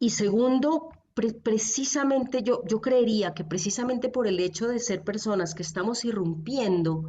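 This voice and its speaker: It is a plain, everyday voice. The pace is moderate and the pitch variation ordinary. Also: woman. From Colombia. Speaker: theologian. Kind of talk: podcast interview answer.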